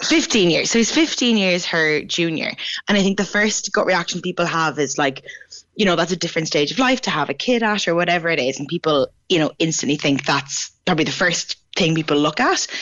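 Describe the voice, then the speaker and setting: An Irish accent carries this woman's lively intonation. She talks at a fairly quick pace, her loudness very even. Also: fairly low pitch for a woman. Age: 20s. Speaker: features writer. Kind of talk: radio interview.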